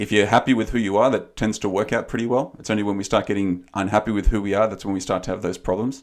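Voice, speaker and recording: A man talks at a very fast pace with hardly any pauses, his pitch fairly low and his intonation fairly even. The recording is very clean, with a silent background. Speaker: life coach and podcast co-host. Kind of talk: casual chat. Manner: calm, quiet.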